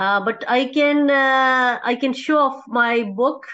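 A woman with a Pakistani accent against a quiet background. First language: Urdu. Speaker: academic researcher; conference presenter. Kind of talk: conference presentation. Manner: halting, many fillers. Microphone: video call.

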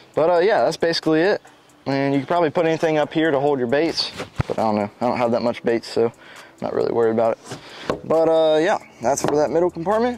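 At a very fast pace, a man speaks in a dry sound with no echo, though noticeable background noise comes through. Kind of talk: casual vlog chat. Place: open country.

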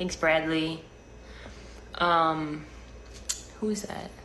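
With light background noise, a woman speaks in a fairly low voice with monotone, flat intonation. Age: 20s. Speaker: live streamer. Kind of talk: casual chat. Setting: home kitchen. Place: home room. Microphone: phone near.

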